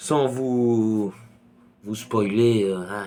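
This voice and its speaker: This man talks in a Belgian accent. His voice is fairly low, with fairly even intonation. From Belgium. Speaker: YouTuber on paranormal topics. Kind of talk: casual book recommendation vlog. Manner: hesitant, many fillers.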